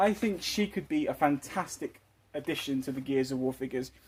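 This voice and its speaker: A man in a British accent, fairly high in pitch, at a moderate pace with ordinary pitch variation. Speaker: toy collector and custom figure maker. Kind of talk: casual video commentary. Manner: stuttering, halting.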